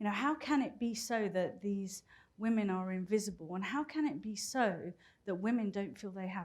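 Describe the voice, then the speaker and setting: A woman speaks at a moderate pace with a British accent. Her pitch varies in an ordinary way. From Britain. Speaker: business executive and keynote speaker. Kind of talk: conference talk.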